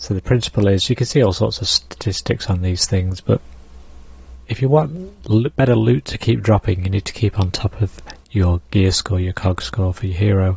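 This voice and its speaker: Using an ordinary speaking voice, a man with fairly low pitch talks at a moderate pace with lively intonation. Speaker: gaming streamer. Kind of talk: casual livestream commentary. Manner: relaxed, explanatory.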